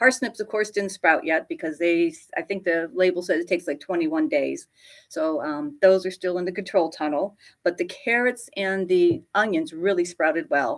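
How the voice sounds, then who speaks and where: With lively intonation and a medium pitch, a woman uses a normal speaking voice at a moderate pace. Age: 60s. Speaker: greenhouse grower. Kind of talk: live stream chat with viewers. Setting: home office.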